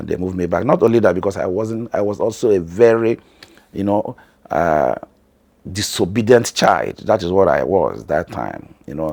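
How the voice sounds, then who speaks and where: A man speaks at a moderate pace. His pitch is fairly low with ordinary variation. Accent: Nigerian. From northern Nigeria. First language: Hausa. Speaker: family vlogger. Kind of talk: personal story.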